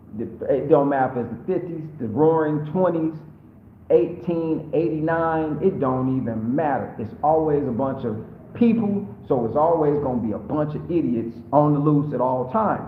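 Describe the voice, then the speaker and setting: There is audible room echo around this voice. A man speaks with ordinary pitch variation. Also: fairly high pitch for a man, moderate pace. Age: 50s. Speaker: YouTuber living abroad. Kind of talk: live stream Q&A. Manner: casual, slangy.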